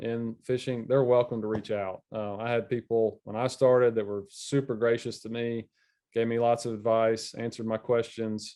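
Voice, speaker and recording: Speaking with a Southern US accent, a man holds a medium pitch and monotone, flat intonation. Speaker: fishing media specialist. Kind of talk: casual chat.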